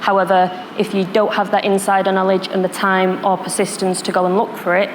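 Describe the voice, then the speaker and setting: A woman talks at a fairly quick pace with a Manchester accent. Her intonation is monotone and flat, with noticeable background noise behind her. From northern England, Manchester. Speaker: security professional, panelist. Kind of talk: panel discussion.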